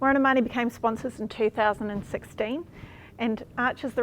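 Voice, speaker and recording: Speaking at a fairly quick pace, a woman with a New Zealand accent has a fairly high pitch and ordinary pitch variation. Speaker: panel moderator, former scholarship recipient. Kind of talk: panel discussion moderation. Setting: live stream.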